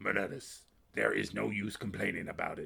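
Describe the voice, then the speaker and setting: A raspy, guttural put-on character voice moves at a fairly quick pace. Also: man. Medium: read story. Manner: solemn, grave.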